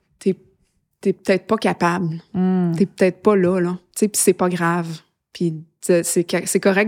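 Recorded very cleanly against a silent background, a woman speaks at a medium pitch with a dry, close sound and no echo. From Quebec, Eastern Townships and Montreal. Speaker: singer-songwriter. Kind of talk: interview. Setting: studio. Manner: casual, hesitant.

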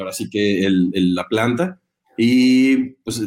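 Ordinary pitch variation colors a man's medium-pitched speech. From Mexico, Guanajuato. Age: 20s. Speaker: agricultural product developer, industrial engineer. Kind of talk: interview. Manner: hesitant, many fillers.

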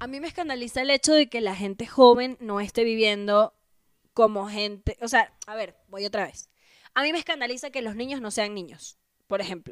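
An unremarkable speaking voice from a woman, fairly high in pitch with ordinary pitch variation, moderate pace, big swings in loudness and a dry, close sound with no echo. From Venezuela. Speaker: comedian. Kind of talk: casual chat.

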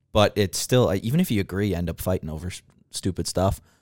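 In a very clean recording with a silent background and a dry, close sound with no echo, a man speaks in a normal speaking voice, fairly low in pitch, with ordinary pitch variation. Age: 20s. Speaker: podcast guest.

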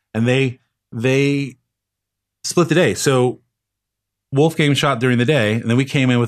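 A man talks at a moderate pace with an American accent. The background is quiet. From Los Angeles, California. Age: 40s. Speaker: film assistant director. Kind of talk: casual chat.

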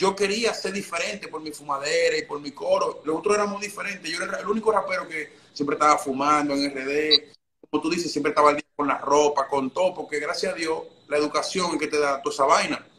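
A man talks at a very fast pace. His voice is fairly high. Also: ordinary pitch variation. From Dominican Republic. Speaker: trap rapper. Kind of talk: casual chat. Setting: live stream.

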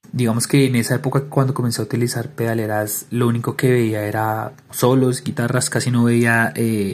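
A man's somewhat breathy voice at medium pitch, fairly quick in pace with fairly even intonation. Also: hardly any pauses. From Colombia, Bogotá. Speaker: music teacher and guitarist. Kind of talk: interview.

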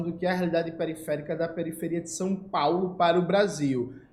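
Audible room echo surrounds a man speaking at a moderate pace with a high pitch. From Brazil, Recife (Pernambuco). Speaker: political YouTuber. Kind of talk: casual political commentary.

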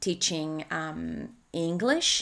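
A woman speaks with a Spanish accent, her pitch fairly low and her pitch variation ordinary. The recording is very clean, with a silent background. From Spain. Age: 30s. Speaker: life coach. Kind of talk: solo podcast monologue. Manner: halting.

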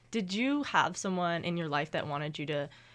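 The speaker has a normal speaking voice and a Canadian accent, talking at a fairly quick pace with lively intonation. The recording is very clean, with a silent background. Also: woman. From eastern Canada. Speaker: student podcast host. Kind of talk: casual interview.

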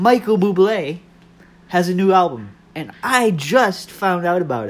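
This man's pitch is high. He speaks at a fairly slow pace. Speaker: podcaster. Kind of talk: casual monologue. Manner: stumbling over words.

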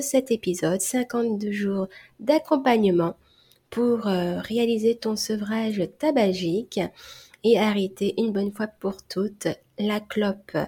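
A woman's somewhat breathy, fairly high voice with a dark, mellow tone at a very slow pace, on a very clean recording against a silent background. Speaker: hypnotherapist and stop-smoking coach. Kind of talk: solo podcast monologue.

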